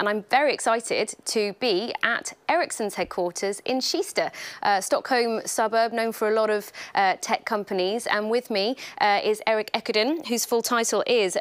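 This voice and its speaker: A woman with a British accent speaks at a moderate pace in a fairly high voice with ordinary pitch variation. The recording is very clean, with a silent background. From Britain. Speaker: journalist and event host. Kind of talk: moderated interview. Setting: live-streamed event at company headquarters.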